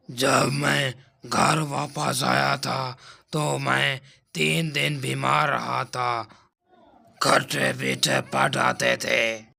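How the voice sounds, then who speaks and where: Doing a cartoonish character voice, a man speaks raspy and very slowly at a medium pitch with very wide pitch swings. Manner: boastful, swaggering.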